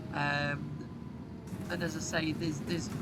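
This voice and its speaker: With a northern English accent, a woman speaks over noticeable background noise and audible room echo. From northern England. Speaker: YouTuber, bus simulator gamer. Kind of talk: gameplay commentary. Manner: casual, frequent fillers.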